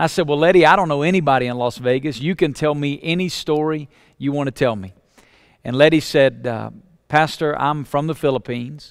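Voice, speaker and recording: A man with a Southern US accent talks at a fairly quick pace, fairly high in pitch for a man, with ordinary pitch variation. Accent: Southern US (Alabama), noticeable. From Alabama, US South. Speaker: pastor. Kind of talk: teaching talk for church planters. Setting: webinar recording.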